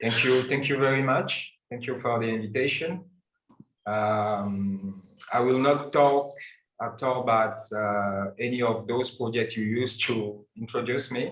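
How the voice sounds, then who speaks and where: With a French accent, a man talks at a fairly slow pace and medium pitch, keeping his intonation fairly even. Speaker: architect and anthropologist. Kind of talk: unprepared talk. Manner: halting. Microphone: slightly quiet, far from mic.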